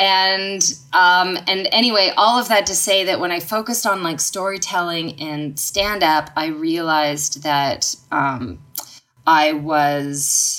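A woman with a Canadian accent speaks at a fairly low pitch. Her tone is bright and sharp, with ordinary pitch variation. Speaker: stand-up comedian and singer-songwriter. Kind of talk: casual chat.

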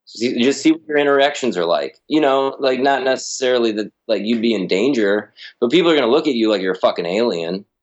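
A man with a medium-pitched voice and ordinary pitch variation talks at a very fast pace with hardly any pauses. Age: 30s. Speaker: musician and indie label owner. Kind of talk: casual chat.

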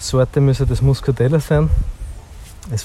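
A man talking at a fairly slow pace. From Austria, southern Styria (Heimschuh). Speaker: winemaker. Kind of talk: casual chat. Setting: outdoors.

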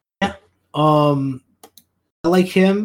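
A man speaks with an American accent and ordinary pitch variation. His voice is somewhat breathy. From United States. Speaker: fantasy basketball podcast host. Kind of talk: casual chat.

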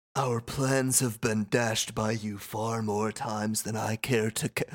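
A man puts on a character voice at a medium pitch. His intonation stays flat and monotone. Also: moderate pace. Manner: menacing villain voice.

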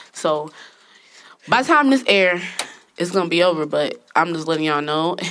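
Noticeable background noise fills the clip. A woman talks at a fairly low pitch and moderate pace, with long, frequent pauses. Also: ordinary pitch variation. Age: 30s. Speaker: podcast host. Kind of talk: casual chat. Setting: studio.

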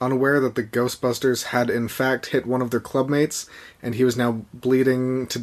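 The speaker has a natural reading voice.

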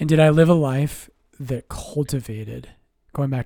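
A soft-spoken delivery at a moderate pace, dark and mellow in tone. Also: man. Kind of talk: casual chat.

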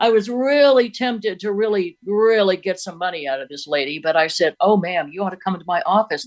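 With an American accent, a woman in an unremarkable speaking voice talks at a fairly quick pace with a medium pitch, lively intonation and big swings in loudness. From Oregon. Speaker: caller. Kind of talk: casual chat.

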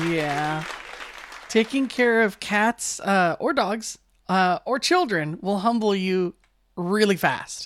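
Over crowd noise in the background, a woman speaks at a very slow pace. Her pitch is medium and her intonation lively. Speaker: radio host. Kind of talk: casual chat. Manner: rambling.

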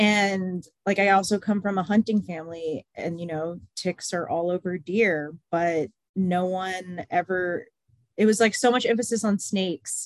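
A woman at medium pitch talks at a fairly slow pace, with a dry, close sound with no echo. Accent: American. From San Antonio, Texas. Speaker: podcast guest, registered nurse and advocate. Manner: monotone, unenthused-sounding.

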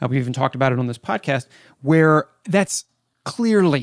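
In a dry, close sound with no echo, a man with an unremarkable speaking voice talks at a fairly quick pace, fairly high in pitch with ordinary variation. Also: very clean recording, silent background. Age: 30s. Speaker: podcast host. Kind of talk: interview.

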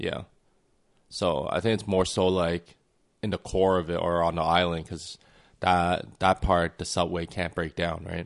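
A man with a Canadian accent speaks at a fairly slow pace in a very deep, low voice, his intonation monotone and flat. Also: quiet background. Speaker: podcast co-host. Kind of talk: casual chat. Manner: casual, laughs often.

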